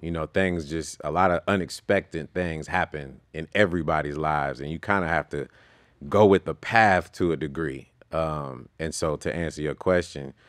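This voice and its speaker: The intonation is fairly even, heard over a quiet background. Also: man, very deep, low pitch for a man, moderate pace, dry sound with no echo. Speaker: podcast guest. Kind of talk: interview answer. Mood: relaxed, reflective, some laughs. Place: studio. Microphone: studio mic.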